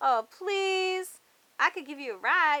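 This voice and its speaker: Putting on a squeaky character voice, a woman speaks at a fairly slow pace and an extremely high pitch. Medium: read story. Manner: wheedling, persistent.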